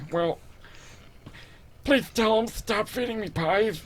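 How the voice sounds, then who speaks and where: In a put-on character voice, a female-sounding speaker talks raspily at a fairly slow pace, pitched fairly high for a woman. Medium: actual play.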